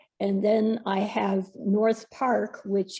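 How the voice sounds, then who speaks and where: A woman speaks at a very slow pace in a medium pitch, somewhat breathy, with a dark, mellow tone and monotone, flat intonation. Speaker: state legislator and educator. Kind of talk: webinar panel talk.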